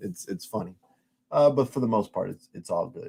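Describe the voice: At a moderate pace, a man speaks at a fairly low pitch with a dark, mellow tone, vocal fry, a slightly husky edge and lively intonation.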